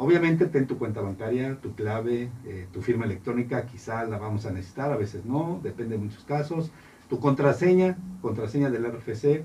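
A man's somewhat breathy voice at medium pitch, with lively intonation and a moderate pace. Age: 40s. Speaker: accountant. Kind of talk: radio interview. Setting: studio.

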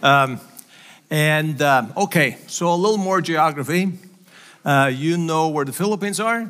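With a bright, sharp tone and a Faroese accent, the speaker goes at a fairly slow pace with ordinary pitch variation and long, frequent pauses. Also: man, fairly high pitch for a man. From Faroe Islands. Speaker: missionary preacher. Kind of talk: sermon. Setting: church.

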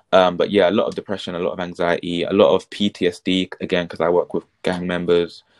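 At a moderate pace, a man speaks in a dry, close sound with no echo. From London, England. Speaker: mental health practitioner. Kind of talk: casual chat. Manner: articulate.

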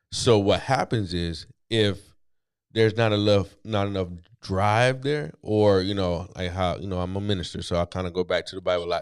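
In an American accent, a man speaks at a moderate pace with an ordinary speaking voice, fairly low pitch and ordinary pitch variation, on a very clean recording with a silent background. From US East Coast. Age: 40s. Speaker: author and entrepreneur in recovery. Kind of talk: casual interview chat.

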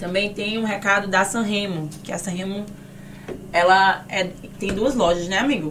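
Using an animated tone, a woman talks at a moderate pace with long, frequent pauses, amid noticeable background noise and audible room echo. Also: medium pitch for a woman. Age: young. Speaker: podcast host and influencer. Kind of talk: sponsor read; casual chat. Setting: studio.

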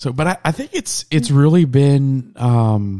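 A dark, mellow tone with lively intonation. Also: man. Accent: American. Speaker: podcast host. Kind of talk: casual chat. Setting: home studio, late at night. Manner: casual, joking.

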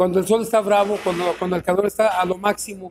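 The delivery comes at a fairly quick pace. Its intonation stays monotone and flat. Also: man. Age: 60s. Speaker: veteran football referee. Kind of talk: panel discussion.

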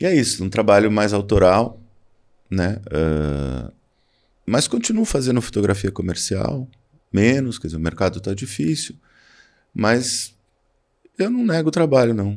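A man's fairly low voice with lively intonation, at a fairly slow pace broken by long, frequent pauses. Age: 60s. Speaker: photographer. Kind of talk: interview.

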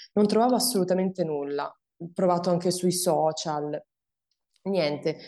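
The voice has a dark, mellow tone with ordinary pitch variation and a moderate pace. The background is quiet. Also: woman. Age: 30s. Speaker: breast cancer survivor and awareness content creator. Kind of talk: testimony.

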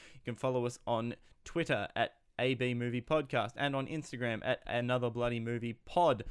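Fairly even intonation, moderate pace and medium pitch from a man with an Australian accent. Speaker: podcast host and film critic. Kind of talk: casual podcast talk and interview. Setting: video call.

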